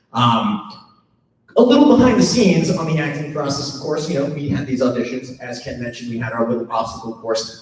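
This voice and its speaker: A man with an American accent talks with ordinary pitch variation, and audible room echo surrounds his voice. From New York, Long Island. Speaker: actor and event host. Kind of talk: emcee speech at live event.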